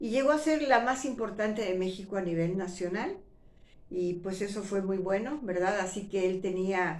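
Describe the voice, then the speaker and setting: The speaker keeps a moderate pace with ordinary pitch variation. Audible room echo surrounds the voice. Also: woman, medium pitch for a woman. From Mexico City. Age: 60s. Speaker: retired actress and YouTuber. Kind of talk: personal storytelling monologue. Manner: conversational, with fillers and false starts.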